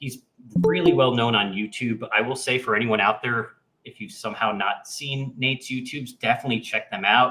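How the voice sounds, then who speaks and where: A man with a normal speaking voice talks at a fairly quick pace, at medium pitch and with fairly even intonation. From New York. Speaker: podcast host, AI agency owner. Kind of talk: interview.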